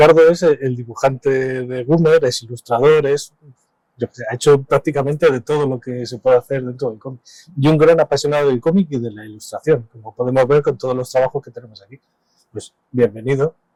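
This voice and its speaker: Speaking fairly quickly with a medium pitch, a man has a dark, mellow tone, fairly even intonation and big swings in loudness, recorded with a dry, close sound and no echo. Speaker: radio host. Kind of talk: radio interview.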